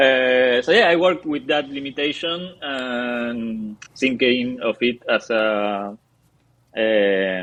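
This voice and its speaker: Speaking at a very slow pace, a man of medium pitch talks with a Spanish accent. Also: ordinary pitch variation. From Argentina. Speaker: comic book artist and writer. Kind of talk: interview. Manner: halting, many fillers and restarts.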